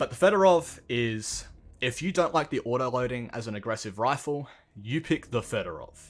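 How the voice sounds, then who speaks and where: A man with an Australian accent speaks with lively intonation over music in the background. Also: medium pitch for a man, moderate pace. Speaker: gaming YouTuber. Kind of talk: gameplay commentary.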